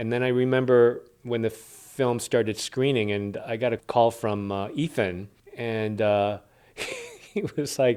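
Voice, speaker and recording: An unremarkable speaking voice from a man, medium in pitch and fairly slow in pace. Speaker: actor. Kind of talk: interview answer.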